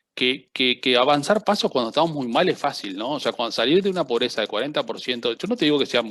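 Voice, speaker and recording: With a Rioplatense accent, a man talks with lively intonation on a very clean recording against a silent background. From Uruguay. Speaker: seminar panelist. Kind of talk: panel discussion.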